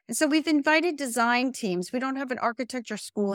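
In a very clean recording with a silent background, a woman with an American accent talks at a fairly quick pace with lively intonation. She has a plain, everyday voice, and the sound is dry and close with no echo. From New Jersey. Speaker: college president. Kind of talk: interview.

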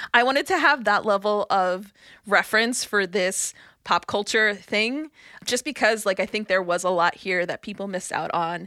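A woman with an American accent, medium-pitched, bright and sharp in tone, at a moderate pace with ordinary pitch variation, on a very clean recording with a silent background. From New York, Brooklyn. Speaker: podcast producer. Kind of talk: casual chat.

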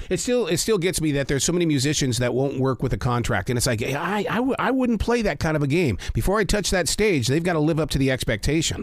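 A man with an American accent talks at a very fast pace, his fairly high pitch swinging very widely. Noticeable background noise runs underneath. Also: hardly any pauses, very even loudness. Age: 60s. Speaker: podcast host. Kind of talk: interview.

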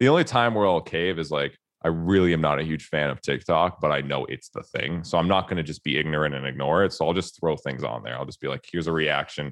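A man talks at a very fast pace, with hardly any pauses. His very deep, low voice carries vocal fry and ordinary pitch variation. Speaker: guitarist and YouTuber. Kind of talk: casual chat. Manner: soft-spoken.

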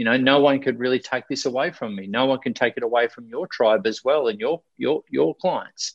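Talking at a fairly quick pace with hardly any pauses, a man with an Australian accent keeps a medium pitch with ordinary variation. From Australia, Victoria coast. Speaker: life coach and speaker. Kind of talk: interview. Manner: animated.

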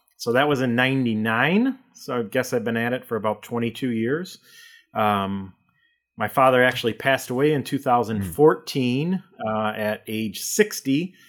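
It's a man with an unremarkable speaking voice and medium pitch. He keeps a moderate pace with ordinary pitch variation. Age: 40s. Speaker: insurance agency owner. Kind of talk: casual interview.

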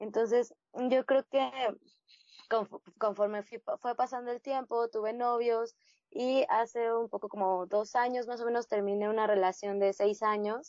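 Speaking at a fairly slow pace with fairly even intonation, a woman has an unremarkable speaking voice pitched fairly high. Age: 30s. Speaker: blogger. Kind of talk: interview testimony.

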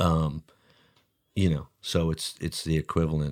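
Very deep and low in pitch, a man speaks in a monotone, flat intonation at a moderate pace, the sound dry and close with no echo. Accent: American. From New Jersey, US. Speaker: artist. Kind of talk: casual interview.

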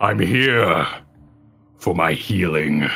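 Using a put-on character voice, a man growls in a raspy, very deep, low pitch.

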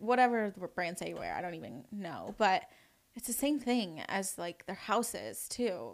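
With an American accent and vocal fry, a woman talks at a moderate pace with big swings in loudness. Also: medium pitch for a woman. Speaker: esthetician student. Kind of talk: casual chat.

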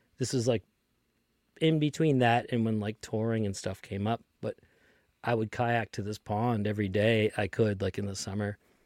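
A man's fairly low voice in an American accent, at a moderate pace with fairly even intonation, dry, close sound with no echo, and a very clean recording with a silent background. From Lynn, Massachusetts (Boston area). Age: 30s. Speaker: tour manager and podcast host. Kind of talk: casual chat.

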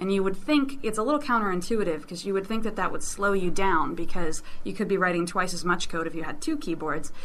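Audible room echo surrounds a woman speaking very fast with hardly any pauses. Her pitch is medium and her intonation lively. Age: 20s. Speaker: government tech worker. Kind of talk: interview. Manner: halting, repeats words.

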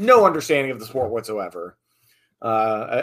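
With an American accent, a man speaks in a normal speaking voice with lively intonation at a moderate pace, on a very clean recording with a silent background. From rural Southern Virginia. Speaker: arena PA announcer. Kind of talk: interview.

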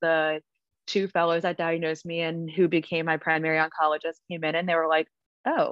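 Speaking with an American accent at a moderate pace, a woman has a plain, everyday voice pitched fairly low, recorded with a dry, close sound with no echo against a quiet background. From New Jersey. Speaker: travel nurse, cancer survivor. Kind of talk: casual interview, personal story.

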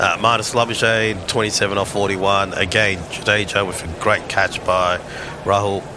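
Over noticeable background noise, a man speaks at a very slow pace with fairly low pitch and monotone, flat intonation. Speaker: cricket commentator. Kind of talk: live commentary.

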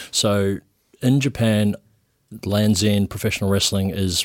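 Fairly low in pitch, a man with a New Zealand accent speaks with fairly even intonation on a very clean recording with a silent background. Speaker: professional wrestler. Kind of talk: casual chat. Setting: studio.

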